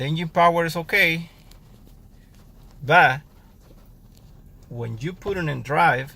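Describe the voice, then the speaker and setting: With a non-native accent, a man speaks in a fairly high pitch with a bright, sharp tone. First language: not English. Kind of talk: casual car repair talk to camera.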